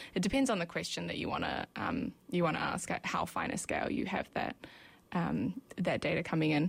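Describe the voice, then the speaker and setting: Using a New Zealand accent, a woman talks fairly quickly at a fairly low pitch with lively intonation. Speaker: ecology PhD student. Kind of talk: interview. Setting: radio studio. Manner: hesitant, many fillers.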